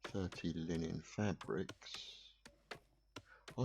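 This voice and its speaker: A man speaks in a very deep, low voice with vocal fry. His pitch varies in an ordinary way. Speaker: gaming video creator. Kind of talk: gameplay commentary. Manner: relaxed, hesitant with fillers.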